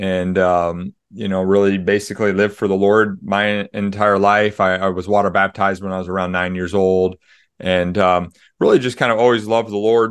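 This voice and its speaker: Against a quiet background, a man with a fairly low pitch talks at a moderate pace in a monotone, flat intonation. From US Midwest (Des Moines, Iowa). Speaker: author and pastor. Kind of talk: interview.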